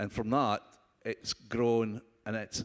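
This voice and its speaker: A man with a strong Scottish accent speaks at a very slow pace, the sound dry and close with no echo. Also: very clean recording, silent background. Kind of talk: panel discussion. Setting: conference stage with audience.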